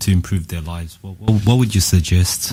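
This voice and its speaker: A man's fairly low voice with ordinary pitch variation, over noticeable background noise. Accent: Australian. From Australia. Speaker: radio co-host. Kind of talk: interview.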